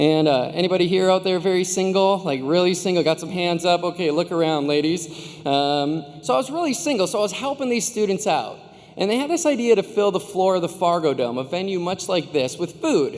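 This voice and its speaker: Pitched high, a man with an American accent talks at a fairly quick pace with lively intonation. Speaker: commencement speaker. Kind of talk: commencement speech. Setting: stage with audience. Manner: fast; animated.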